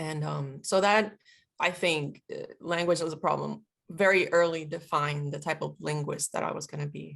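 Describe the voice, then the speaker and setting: A woman speaks at a very deep, low pitch with vocal fry. Her intonation is fairly even and her pace moderate. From Puerto Rico. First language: Spanish. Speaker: military linguist. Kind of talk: interview conversation.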